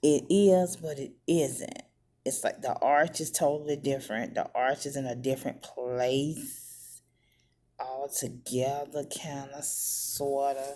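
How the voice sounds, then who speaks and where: A woman speaks quietly and very slowly, her very deep, low voice dark and mellow with fairly even intonation, on a very clean recording with a silent background. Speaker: beauty vlogger. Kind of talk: makeup tutorial. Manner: halting.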